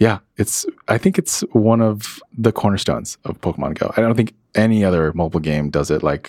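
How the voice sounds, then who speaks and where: Speaking with a plain, everyday voice and an American accent, a man talks at a fairly quick pace with fairly low pitch and ordinary pitch variation, the sound dry and close with no echo. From Florida, US. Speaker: video game producer. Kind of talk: interview conversation. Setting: office.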